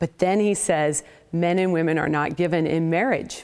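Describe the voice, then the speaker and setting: With a West Coast accent, a woman talks at a moderate pace on a very clean recording with a silent background. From US Pacific Northwest, Portland, Oregon area. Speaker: apologetics professor and author. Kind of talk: interview testimony.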